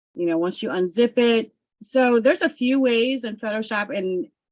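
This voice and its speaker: Her voice is a plain, everyday voice. The woman speaks at a moderate pace with lively intonation. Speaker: graphic design tutor. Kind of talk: live-stream tutorial. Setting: live stream.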